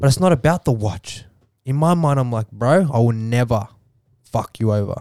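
In an Australian accent, a dark, mellow voice moves at a moderate pace with lively intonation and a dry, close sound with no echo. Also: man, medium pitch for a man. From Australia, Melbourne western suburbs. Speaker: model and entrepreneur. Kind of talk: podcast interview.

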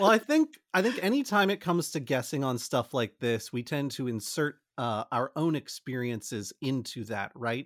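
A man talks at a moderate pace in an ordinary speaking voice with medium pitch and lively intonation, hardly pausing, in a dry, close sound with no echo on a very clean recording with a silent background. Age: 30s. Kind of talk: scripted outro; casual chat.

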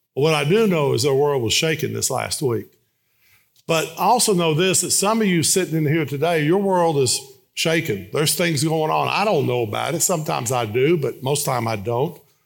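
An ordinary speaking voice from a man, fairly high in pitch, with lively intonation, a fairly quick pace, and a very clean recording on a silent background. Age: 60s. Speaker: guest preacher. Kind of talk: sermon. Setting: church.

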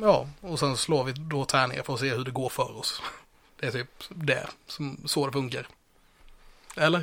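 Speech comes at a fairly slow pace with long, frequent pauses. Pitch variation is ordinary. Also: man, fairly high pitch for a man. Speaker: podcast host. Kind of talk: role-play game chat. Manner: animated.

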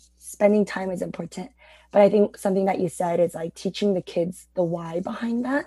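A somewhat breathy voice with a dark, mellow tone moves at a fairly quick pace. It has ordinary pitch variation and a dry, close sound with no echo. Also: woman, medium pitch for a woman. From Guatemala, Korean family. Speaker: Bible teacher. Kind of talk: casual interview.

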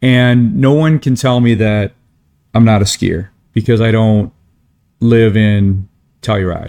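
A man with an American accent talks at a fairly slow pace and medium pitch, with long, frequent pauses. His loudness stays very even and his pitch variation is ordinary. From Michigan, small town. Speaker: ski podcaster and writer. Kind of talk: casual interview chat.

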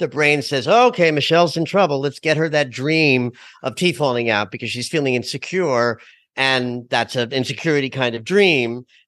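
A man with a normal speaking voice talks at a moderate pace and medium pitch, with ordinary pitch variation, against a quiet background. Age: 60s. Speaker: astrologer and dream expert. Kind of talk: interview.

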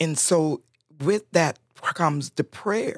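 A woman's very deep, low voice with vocal fry, at a very slow pace, dry and close with no echo, on a very clean recording with a silent background. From Honduras, Roatán island. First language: Spanish. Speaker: church prayer ministry leader. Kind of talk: casual chat. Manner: animated.

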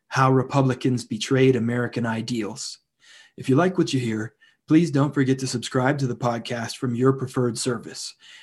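A man speaks in an ordinary speaking voice at medium pitch and a moderate pace, with fairly even intonation against a quiet background. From western Pennsylvania, Indiana County. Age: 30s. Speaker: podcast host, philosophy PhD candidate. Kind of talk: casual conversation; scripted intro. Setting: video call.

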